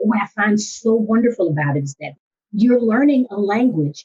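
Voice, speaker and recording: A woman speaks with lively intonation and an animated tone. Her voice is somewhat breathy. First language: Spanish. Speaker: school district language coordinator. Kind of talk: podcast interview.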